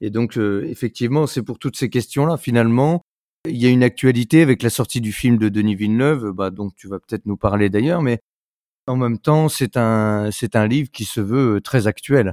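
On a very clean recording with a silent background, a man at medium pitch speaks at a moderate pace with ordinary pitch variation, in a dry, close sound with no echo. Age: 40s. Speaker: podcast host. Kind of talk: interview. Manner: hesitant, many fillers.

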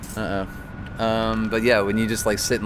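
A man with an American accent speaks at a moderate pace in a flat monotone. Audible room echo surrounds his voice. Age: 20s. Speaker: punk rock singer and guitarist. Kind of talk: interview. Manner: casual, laughs often.

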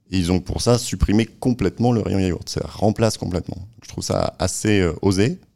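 Fairly even intonation, a dark, mellow tone and a moderate pace. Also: man, fairly low pitch for a man. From northern France. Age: 40s. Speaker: food brand marketing director. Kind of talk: interview. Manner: hesitant, many fillers.

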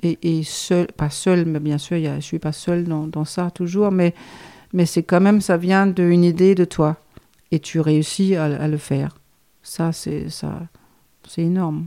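The speech comes at a very slow pace with long, frequent pauses. It is delivered in a Danish accent. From Denmark, Copenhagen. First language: Danish (speaking French). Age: 50s. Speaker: guesthouse owner. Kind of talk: casual chat. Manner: halting.

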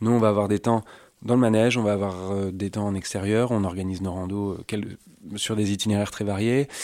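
Speaking at a fairly quick pace, a man uses a fairly low pitch with monotone, flat intonation. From Normandy, France (Suisse normande). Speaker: riding instructor and trekking guide. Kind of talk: interview. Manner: halting, many repetitions.

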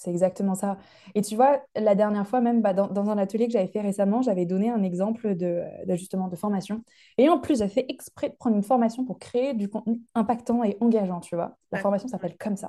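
Dark and mellow in tone, a woman's medium-pitched voice moves at a fairly quick pace. Her pitch variation is ordinary. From France, Lyon. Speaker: digital learning trainer. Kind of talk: casual interview chat.

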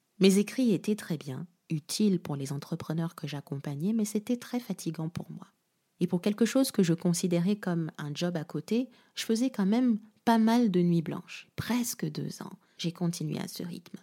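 This woman's voice has a dark, mellow tone and is somewhat breathy. She talks at a moderate pace in a very clean recording with a silent background. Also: medium pitch for a woman. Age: 20s. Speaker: podcast host, storytelling coach. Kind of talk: solo podcast monologue, personal story.

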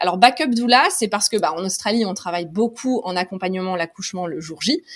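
The delivery is fairly quick with lively intonation. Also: woman. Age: 30s. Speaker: doula and yoga teacher. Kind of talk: interview conversation. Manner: hesitant, many fillers.

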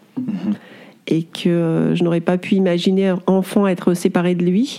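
With fairly even intonation and a medium pitch, a woman talks in a plain, everyday voice. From France, Auvergne (Clermont-Ferrand). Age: 40s. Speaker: sculptor. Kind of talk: interview.

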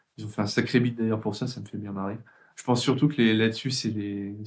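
A man talks fairly quickly with fairly even intonation. He has an unremarkable speaking voice, pitched in the medium range. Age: 30s. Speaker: IT trainer and author. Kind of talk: casual interview.

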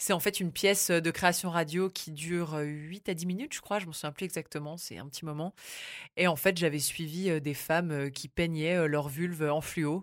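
In an unremarkable speaking voice, a woman talks at a moderate pace and fairly low pitch, with fairly even intonation and big swings in loudness, on a very clean recording with a silent background. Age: 20s. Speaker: radio journalist. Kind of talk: casual chat. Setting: studio.

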